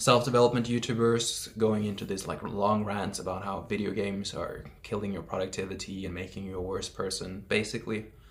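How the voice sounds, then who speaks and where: Man at a fairly quick pace, fairly low in pitch, with fairly even intonation and a non-native accent. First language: not English. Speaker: self-development YouTuber. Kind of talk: casual vlog monologue. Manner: casual with many fillers.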